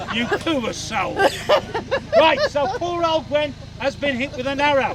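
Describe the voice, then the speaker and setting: Crowd noise fills the background behind a man with an extremely high pitch. His tone is animated, with ordinary pitch variation. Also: fairly slow pace. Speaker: historical reenactor and street performer. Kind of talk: live audience demonstration.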